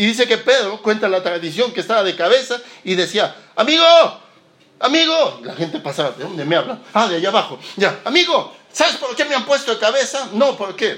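A man speaks with a raised, projected voice at an extremely high pitch, with very wide pitch swings and a fairly quick pace. Noticeable background noise is present. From Peru, Lima. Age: 40s. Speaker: pastor. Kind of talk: sermon. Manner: halting, repeats words.

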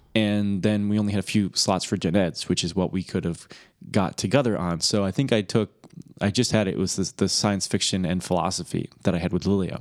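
On a very clean recording with a silent background, a man with a Michigan accent and a very deep, low pitch speaks at a fairly quick pace with fairly even intonation. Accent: Michigan, general northern US. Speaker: podcast co-host, brother. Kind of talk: casual chat.

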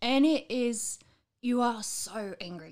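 A woman speaks with a dark, mellow tone at a fairly high pitch. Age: 30s. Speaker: mother with bipolar disorder. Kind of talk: casual chat.

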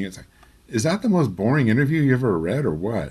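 Talking at a very fast pace, a man's medium-pitched voice shows very wide pitch swings. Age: 50s. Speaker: recording engineer and magazine editor. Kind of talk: casual chat.

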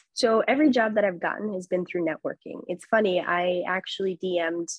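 A woman's medium-pitched voice with an American accent at a very fast pace. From Chicago, US Midwest. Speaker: TV sports anchor. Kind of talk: casual interview.

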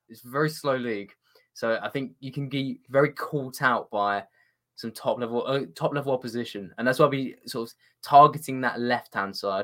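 Speaking at a moderate pace with a British accent, this voice shows big swings in loudness and ordinary pitch variation on a very clean recording with a silent background. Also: man, medium pitch for a man. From Britain. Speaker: football journalist. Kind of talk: casual chat.

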